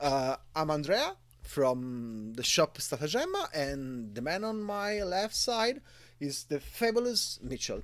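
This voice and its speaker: In a very clean recording with a silent background, a man with an Italian accent speaks at a very slow pace in a fairly high pitch with very wide pitch swings. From Italy. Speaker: game shop owner and game author. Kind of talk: interview. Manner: halting.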